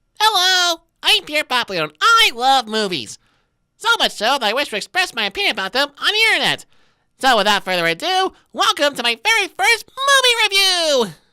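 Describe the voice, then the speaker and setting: A cartoonish character voice, high-pitched, at a fairly quick pace with very wide pitch swings. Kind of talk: movie review commentary. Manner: sarcastic, snarky.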